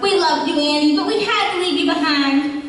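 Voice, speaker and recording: A woman puts on a squeaky character voice at a high pitch and fairly quick pace, with ordinary pitch variation. Strong echo and clear background noise fill the recording. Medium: stage play. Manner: sugary.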